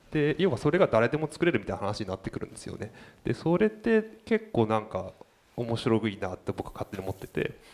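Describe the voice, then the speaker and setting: This man talks at a very fast pace in a medium pitch. His pitch swings very widely and his loudness rises and falls sharply. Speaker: designer. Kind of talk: casual chat.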